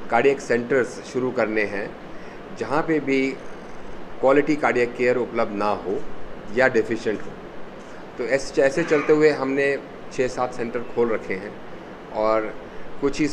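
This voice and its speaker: With noticeable background noise behind him, a man speaks at a fairly slow pace, his intonation fairly even and his pauses long and frequent. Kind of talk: press conference statement. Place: meeting room. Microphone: handheld.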